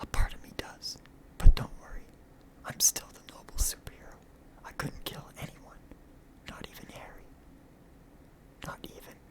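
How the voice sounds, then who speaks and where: In a whisper with a relaxed tone, the speaker goes at a moderate pace with long, frequent pauses over noticeable background noise. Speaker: ASMR comic book reader. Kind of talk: dramatized comic book reading with character voices. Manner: whispered, relaxed.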